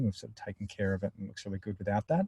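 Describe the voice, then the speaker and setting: A man's fairly low, dark and mellow voice, somewhat breathy. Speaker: software product presenter. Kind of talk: webinar Q&A. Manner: mumbling.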